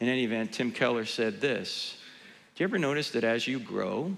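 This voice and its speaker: The man's tone is animated. He speaks at a medium pitch. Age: 60s. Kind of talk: conference talk to church audience. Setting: church stage with audience.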